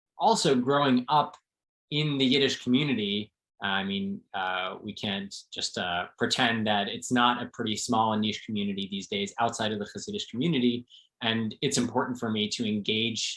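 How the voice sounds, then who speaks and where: In an American accent, a plain, everyday voice moves at a moderate pace with ordinary pitch variation. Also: man. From New Jersey, suburbs of New York City. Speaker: translator. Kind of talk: interview conversation.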